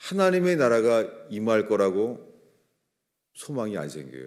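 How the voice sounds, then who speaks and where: The speech moves at a very slow pace with very wide pitch swings, and audible room echo surrounds it. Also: man. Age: 60s. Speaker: pastor. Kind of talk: sermon. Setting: church.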